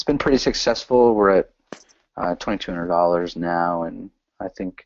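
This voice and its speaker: This man has a very deep, low pitch and an American accent. He talks at a fairly slow pace. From New Jersey, US (born El Salvador). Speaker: army soldier, adoptee. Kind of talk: interview testimony.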